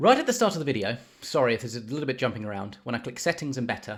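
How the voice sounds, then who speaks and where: A man with a British accent speaks very fast in a somewhat breathy voice at a medium pitch, with lively intonation. The recording is very clean, with a silent background. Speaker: project management tutor, YouTuber. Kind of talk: software tutorial. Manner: casual, with frequent fillers and restarts.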